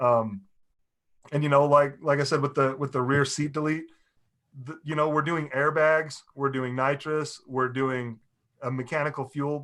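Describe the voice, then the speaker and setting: A man's fairly high voice, flat and monotone, at a moderate pace. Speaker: car owner. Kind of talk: casual chat. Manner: loud.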